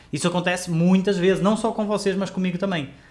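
A man speaks in an animated tone. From Portugal. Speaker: photography teacher. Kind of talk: live online class. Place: home room.

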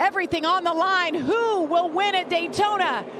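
A woman with an extremely high pitch and ordinary pitch variation speaks over noticeable background noise. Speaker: race announcer. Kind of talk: live race commentary. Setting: broadcast booth. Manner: animated, excited play-by-play.

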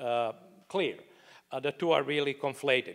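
Speaking with a non-native accent at a fairly quick pace, a man shows ordinary pitch variation against a quiet background. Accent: non-native, foreign-accented English. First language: not English. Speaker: economist, book contributor; panelist. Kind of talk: panel discussion. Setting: stage with live audience. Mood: calm explanatory. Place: hall. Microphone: handheld.

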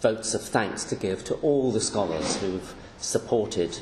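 A man talks at a fairly slow pace. The recording has audible room echo and light background noise. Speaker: professor emeritus lecturer. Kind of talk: lecture. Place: hall.

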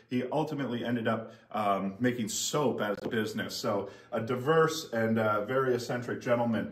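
A man's voice at a moderate pace, with very even loudness, hardly any pauses, ordinary pitch variation and audible room echo. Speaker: auctioneer. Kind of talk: auction house item presentation to camera. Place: shop. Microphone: camera far.

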